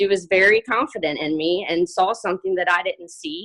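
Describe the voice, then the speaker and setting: Shaky and with ordinary pitch variation, a woman's voice comes through in a dry, close sound with no echo. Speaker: fitness coach. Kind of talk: testimony. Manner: halting, many fillers.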